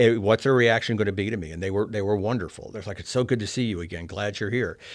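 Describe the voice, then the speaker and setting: A man talks very fast with an American accent. His pitch is fairly low and his intonation fairly even. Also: quiet background. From Oklahoma, Collinsville. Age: 60s. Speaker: former state senator turned lobbyist. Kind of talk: interview. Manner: halting, with repeated words.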